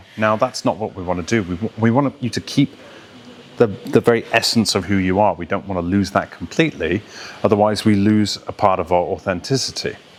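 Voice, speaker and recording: Noticeable background noise sits behind a man's fairly low voice. He talks at a fairly quick pace with ordinary pitch variation. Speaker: voice coach and actor. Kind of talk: educational talk to camera about accent and voice training.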